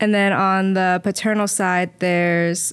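Her intonation monotone and flat, a woman talks at a medium pitch and a very slow pace. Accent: Midwestern American. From Indianapolis, Indiana. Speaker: diving coach and social worker. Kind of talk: casual interview. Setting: studio.

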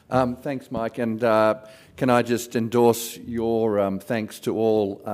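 Fairly slow speech from a man with a medium pitch and an Australian accent. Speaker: board chairman. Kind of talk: closing remarks. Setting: stage with audience.

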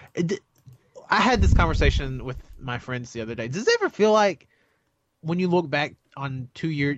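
The man keeps a moderate pace. His pitch moves with ordinary variation. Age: 20s. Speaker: wrestling podcast co-host. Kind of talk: casual chat.

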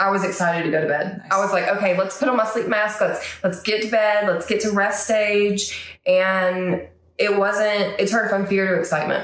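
With audible room echo, a woman of medium pitch speaks at a moderate pace and very even loudness, with fairly even intonation and hardly any pauses. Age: 30s. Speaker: therapy client sharing recovery story. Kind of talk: interview testimony. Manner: hesitant with frequent fillers.

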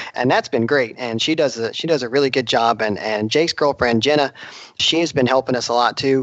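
A man's ordinary speaking voice at a medium pitch, with ordinary pitch variation and a fairly quick pace. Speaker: drag racer and podcast co-host. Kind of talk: casual interview.

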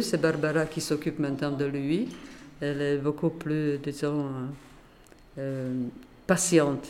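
Speaking at a very slow pace with long, frequent pauses, a woman with a Polish accent uses a very deep, low pitch and fairly even intonation. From Poland, Warsaw. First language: Polish (speaking French). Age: 80s+. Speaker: retired teacher, association founder. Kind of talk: interview. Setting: association office. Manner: halting.

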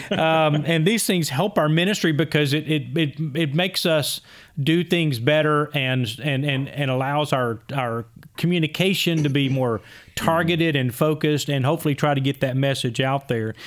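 A man with an unremarkable speaking voice talks at a moderate pace with ordinary pitch variation. His loudness stays very even. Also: fairly high pitch for a man. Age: 60s. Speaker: podcast host, church ministry strategist. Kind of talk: scripted intro; casual discussion.

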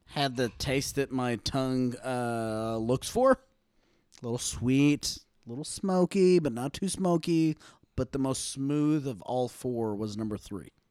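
A Texan accent at a fairly slow pace, with ordinary pitch variation and a dry, close sound with no echo. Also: man, medium pitch for a man. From Texas. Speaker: returning podcast guest. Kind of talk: casual chat. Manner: animated.

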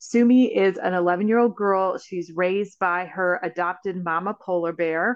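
A woman's plain, everyday voice at a fairly slow pace and medium pitch, with ordinary pitch variation and a quiet background. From Canada's Northwest Territories. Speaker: film writer and director. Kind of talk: interview.

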